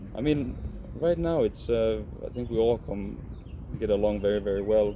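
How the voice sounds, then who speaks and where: This man speaks with a Swedish accent. His pace is moderate. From Finland. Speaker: professional footballer. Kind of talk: interview. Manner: halting.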